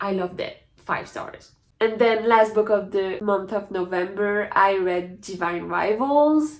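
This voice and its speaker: A woman speaks with a French accent at a medium pitch. Her pace is fairly slow, with ordinary pitch variation. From France. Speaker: book youtuber. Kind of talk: casual chat. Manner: animated.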